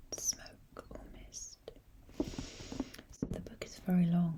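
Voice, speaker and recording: A soft-spoken woman talks in a calm tone over noticeable background noise. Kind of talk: ASMR book collection talk, soft-spoken. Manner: soft-spoken, calm, slow.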